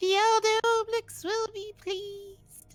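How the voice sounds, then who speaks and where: A put-on character voice at an extremely high pitch and fairly slow pace, with music in the background. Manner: formal, servile.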